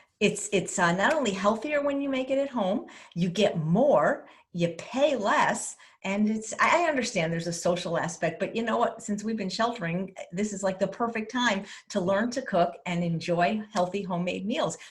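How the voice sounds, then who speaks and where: With lively intonation, a woman talks at a medium pitch in a plain, everyday voice. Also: moderate pace. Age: 60s. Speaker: plant-based chef. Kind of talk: interview.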